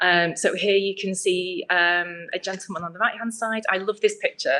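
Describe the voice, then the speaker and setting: In a British accent, a woman talks at a moderate pace. Her medium pitch holds fairly even intonation. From UK. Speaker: UX researcher. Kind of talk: presentation. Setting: meetup event with audience.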